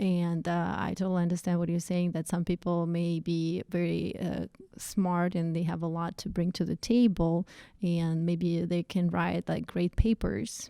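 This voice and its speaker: Over a very clean recording with a silent background, a woman with a Russian accent speaks at a fairly slow pace, with a fairly low pitch, a dark, mellow tone and monotone, flat intonation, in a dry, close sound with no echo. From Russia, Saint Petersburg. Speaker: project manager. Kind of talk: casual interview. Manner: hesitant, many fillers.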